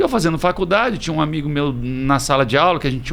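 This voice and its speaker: A man's fairly high voice at a fairly quick pace. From Presidente Prudente, São Paulo state, Brazil. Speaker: restaurant and bar business owner. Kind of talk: casual interview.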